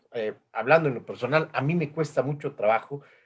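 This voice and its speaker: At a moderate pace, a man talks in a somewhat breathy voice with a fairly high pitch. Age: 50s. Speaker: interview host. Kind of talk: video call interview. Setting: video call.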